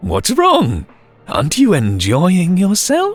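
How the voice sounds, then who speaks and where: A man's put-on character voice at a high pitch and a fairly slow pace, with faint music in the background. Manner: sociable, menacing, unhinged.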